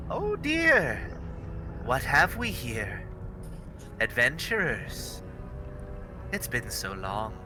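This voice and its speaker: Through loud background noise, a man does a put-on character voice at a very slow pace. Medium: actual play. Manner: taunting, sing-song, cackling.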